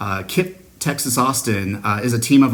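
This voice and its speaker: Medium in pitch with ordinary variation, a man talks over noticeable background noise. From US Pacific Northwest, Seattle. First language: Spanish. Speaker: school district superintendent. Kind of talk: recorded address to an award ceremony. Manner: frequent filler words (uh, um).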